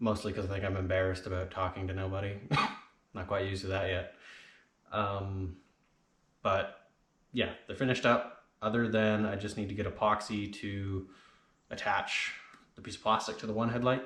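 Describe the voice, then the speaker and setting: Quiet and fairly low, a man speaks at a moderate pace with monotone, flat intonation, long, frequent pauses, and audible room echo. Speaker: car hobbyist vlogger. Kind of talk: DIY tutorial vlog. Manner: casual.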